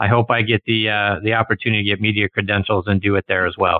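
Very fast speech from a man with a fairly low pitch and fairly even intonation. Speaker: golf radio host. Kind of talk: radio interview with ad reads.

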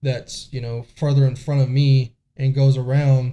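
A man speaks fairly slowly with an American accent in a fairly high pitch. His tone is dark and mellow, and somewhat breathy. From US South, coastal South Carolina. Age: young. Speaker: police SWAT officer. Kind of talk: interview testimony.

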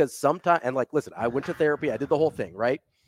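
With lively intonation, a man talks in a fairly high pitch marked by vocal fry. The sound is dry and close, with no echo. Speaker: sports podcast host. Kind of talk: casual banter.

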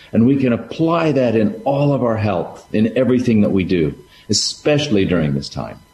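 Very wide pitch swings from a man, noticeable background noise all around. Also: medium pitch for a man, moderate pace. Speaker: parent of five. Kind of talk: casual chat.

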